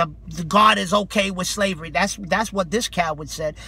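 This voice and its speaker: A man's raised, projected voice, high in pitch and passionate in tone, at a moderate pace. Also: dry sound with no echo. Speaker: street preacher. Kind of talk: street preaching rebuttal, impassioned sermon. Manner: forceful, passionate, confrontational. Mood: indignant, scolding. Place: car. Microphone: phone near.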